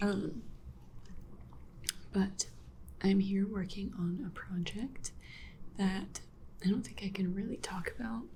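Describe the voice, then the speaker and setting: A soft-spoken woman talks at a very slow pace with long, frequent pauses, her pitch medium and her intonation fairly even. There is audible echo from the room. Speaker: illustrator vlogger. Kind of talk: casual vlog talk. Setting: library. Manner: quiet, soft-spoken.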